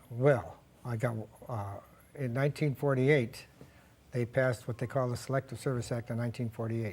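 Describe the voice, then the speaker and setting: In a flat monotone, a man with an American accent speaks at a medium pitch. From US Midwest, Cleveland, Ohio. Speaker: cancer survivor, retired stockbroker. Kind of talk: interview.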